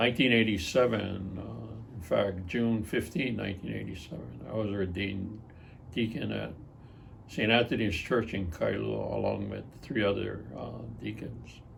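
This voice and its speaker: A man talks at a moderate pace. Audible echo fills the room. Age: 70s. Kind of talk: interview. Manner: hesitant, many filler words.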